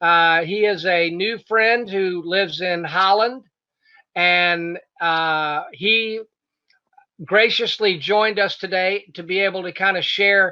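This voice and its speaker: At a very slow pace, a man projects a raised voice with a bright, sharp tone, a high pitch and fairly even intonation. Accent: American. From North Carolina mountains. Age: 50s. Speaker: interviewer, crypto news host. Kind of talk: interview.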